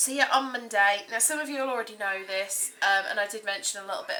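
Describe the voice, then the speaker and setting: This woman talks with an English accent at medium pitch. Her pitch varies in an ordinary way. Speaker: vlogger. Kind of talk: personal vlog testimony. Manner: hesitant, many ums.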